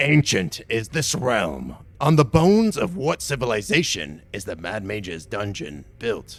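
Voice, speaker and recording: A man performs a put-on character voice at medium pitch with very wide pitch swings. He keeps a moderate pace with hardly any pauses. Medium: actual play. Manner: theatrical, smug showman.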